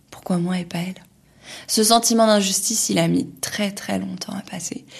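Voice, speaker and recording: A woman speaks at a fairly slow pace. Her fairly low voice is somewhat breathy. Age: 30s. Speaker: journalist and cancer patient. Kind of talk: personal testimony podcast. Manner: casual with hesitations.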